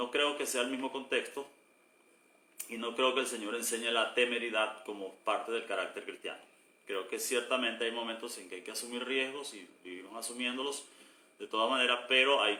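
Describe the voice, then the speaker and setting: At a fairly quick pace, a man talks in a medium pitch with fairly even intonation and big swings in loudness. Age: 60s. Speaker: pastor. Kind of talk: casual chat. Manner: halting.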